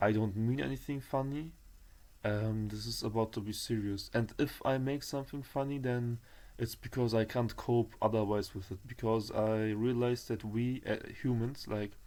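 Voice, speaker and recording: A man with a German accent speaks at a medium pitch in a dark, mellow tone with fairly even intonation. He keeps a moderate pace in a very clean recording with a silent background. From Germany, Turkish roots. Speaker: vlogger. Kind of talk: personal testimony vlog. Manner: halting, many fillers and restarts.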